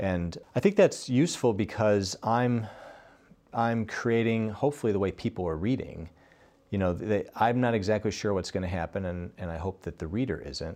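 A man with an American accent, fairly low pitch, dark, mellow tone, ordinary pitch variation and moderate pace against a quiet background. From upstate New York. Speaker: journalist and novelist. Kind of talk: interview.

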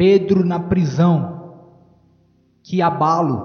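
This man's voice sits high for a man, with fairly even intonation. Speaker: preacher. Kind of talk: sermon. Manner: fervent, emphatic pulpit delivery, appealing to the congregation.

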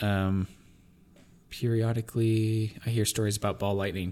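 An unremarkable speaking voice from a man, fairly low in pitch with fairly even intonation, moving at a moderate pace on a very clean recording with a silent background. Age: 20s. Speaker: podcast co-host. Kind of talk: casual chat.

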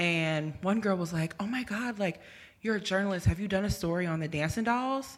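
In a normal speaking voice with an American accent, a woman talks at a fairly quick pace, medium pitch and ordinary pitch variation. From Virginia and New Jersey, US East Coast. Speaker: journalist. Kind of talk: casual chat.

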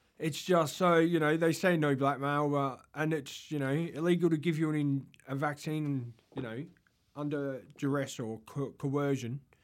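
In an Australian accent, a man with a fairly high voice talks at a moderate pace with fairly even intonation, recorded very cleanly against a silent background. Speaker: podcast co-host. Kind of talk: casual chat. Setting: studio.

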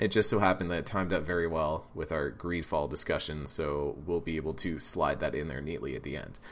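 A man's very deep, low voice with vocal fry and ordinary pitch variation, at a fairly quick pace with hardly any pauses. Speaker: podcast host. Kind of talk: casual chat. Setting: remote recording over Discord.

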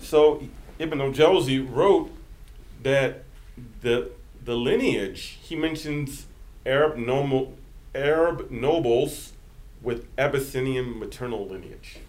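Speaking very slowly with long, frequent pauses, a man with an American accent uses a fairly high pitch and ordinary pitch variation, his loudness swinging widely amid audible room echo. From central Virginia, US. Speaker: imam and civil rights advocate. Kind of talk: podcast interview. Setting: office.

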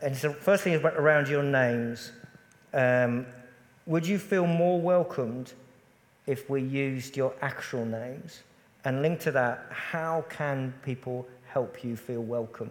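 A man with an English accent speaks at a fairly slow pace with ordinary pitch variation. Noticeable background noise runs underneath. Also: fairly high pitch for a man. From England. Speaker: pastor. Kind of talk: church panel discussion. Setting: church.

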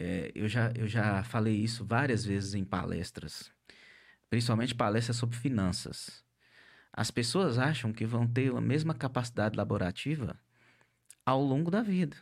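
Over a very clean, silent background, a man with an ordinary speaking voice talks at a moderate pace and medium pitch, with ordinary pitch variation and very even loudness. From northern Minas Gerais, Brazil. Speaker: podcast host, coach. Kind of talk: interview podcast, casual chat. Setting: studio, live-streamed.

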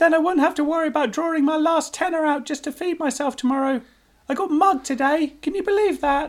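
A put-on character voice squeaks along at a high pitch and a very fast pace. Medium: read story.

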